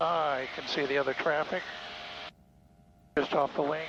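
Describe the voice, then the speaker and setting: A man with an American accent speaks at a fairly high pitch in a monotone, flat delivery. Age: 60s. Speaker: private pilot. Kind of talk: casual flight narration. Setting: in small airplane cockpit. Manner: halting.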